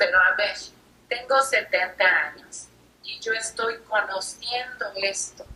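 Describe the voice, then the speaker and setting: The pace is very slow and the intonation fairly even. Loudness rises and falls in big swings. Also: woman, fairly high pitch for a woman. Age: 70s. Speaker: interviewer in religious dialogue. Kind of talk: casual chat.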